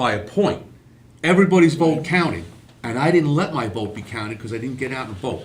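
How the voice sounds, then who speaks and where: A man speaks at a fairly quick pace with a New York accent, his pitch swinging very widely and his voice somewhat breathy. Audible room echo surrounds him. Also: medium pitch for a man, big swings in loudness. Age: 60s. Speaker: podcast host, retired police officer. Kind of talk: casual chat.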